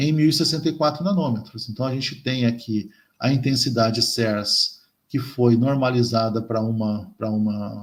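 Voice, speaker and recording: A somewhat breathy man at a medium pitch and fairly slow pace. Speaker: chemistry professor. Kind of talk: lecture. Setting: colloquium talk. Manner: halting, many fillers.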